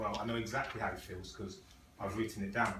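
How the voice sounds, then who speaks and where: A man speaks at a medium pitch. There is noticeable background noise behind him. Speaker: Toastmasters club speaker. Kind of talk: public speech to club audience. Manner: fast.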